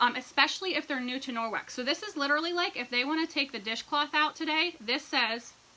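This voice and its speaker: Over noticeable background noise, a woman talks in a raised, projected voice with lively intonation at a fairly quick pace. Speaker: direct sales team leader. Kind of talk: livestream tutorial. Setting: live video stream. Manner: fast; animated.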